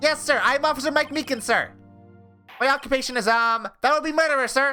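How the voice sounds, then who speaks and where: A nasal, put-on character voice that sounds female, at a fairly quick pace, with faint music in the background. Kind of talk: formal, sir-addressing.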